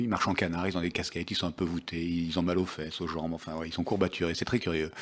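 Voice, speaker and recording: Captured in a very clean recording with a silent background, a man speaks with a very deep, low pitch. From France, Nice. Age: 50s. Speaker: sports journalist and author. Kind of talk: book talk at a public event. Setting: bookshop event with audience. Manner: hesitant, many fillers.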